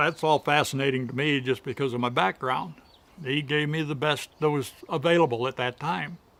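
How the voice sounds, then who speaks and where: The speaker has a Midwestern American accent. The pace is moderate. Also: man, fairly high pitch for a man. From Michigan. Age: 70s. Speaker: amputee, retired draft horse owner. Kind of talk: testimonial interview answer.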